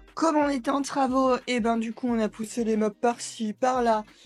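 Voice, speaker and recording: With a high voice and ordinary pitch variation, a woman speaks on a very clean recording with a silent background. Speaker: primary school teacher and vlogger. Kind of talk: casual vlog monologue. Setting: at home. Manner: fast; animated.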